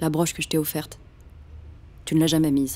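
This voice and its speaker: This woman's voice sits very deep and low, with fairly even intonation. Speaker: voice actor. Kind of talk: audiobook reading.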